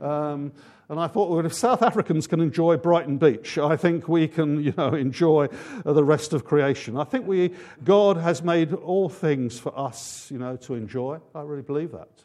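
A man with an English accent talks at a moderate pace, fairly high in pitch with ordinary pitch variation and a dark, mellow tone. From England. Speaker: pastor. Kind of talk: sermon. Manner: halting.

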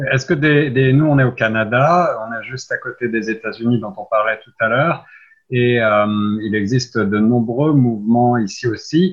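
The speaker goes at a moderate pace with ordinary pitch variation and a somewhat breathy sound. Loudness swings widely. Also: man, medium pitch for a man. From France. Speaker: radio host. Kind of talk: radio interview. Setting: radio studio.

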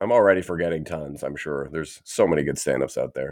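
Speaking fairly quickly with a Canadian accent, a man is heard on a very clean recording with a silent background. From Canada. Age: 30s. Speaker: podcaster and comedian. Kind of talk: casual chat.

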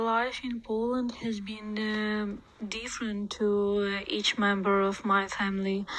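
Slow-ish, monotone and flat delivery in a Ukrainian accent, at a fairly slow pace, with noticeable background noise. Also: woman, fairly high pitch for a woman. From Ukraine. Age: 20s. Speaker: refugee. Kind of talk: interview. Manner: halting.

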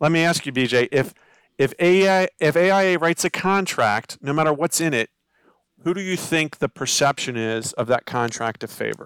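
A man's normal speaking voice with an American accent, fairly high in pitch and lively in intonation, at a moderate pace, in a very clean, dry, close recording with a silent background and no echo. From Maryland, Baltimore County. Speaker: construction attorney. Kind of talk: interview.

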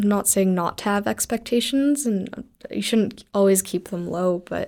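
This woman has an unremarkable speaking voice at a medium pitch, talking at a moderate pace with fairly even intonation. The recording is very clean, with a silent background. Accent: Canadian. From Calgary, Canada. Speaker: film director. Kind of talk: casual chat.

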